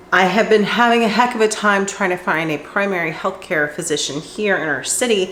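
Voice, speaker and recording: A woman talks at a fairly quick pace with hardly any pauses, her pitch medium with ordinary variation. Noticeable background noise sits behind her. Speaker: cooking vlogger. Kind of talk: casual vlog talk.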